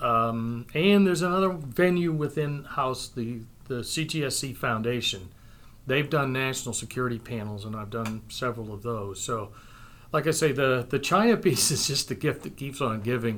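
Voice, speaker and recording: An ordinary speaking voice from a man with an American accent, medium pitch, lively intonation and a moderate pace. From Maine, US (Calais area). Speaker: military history professor and retired army officer. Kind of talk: interview.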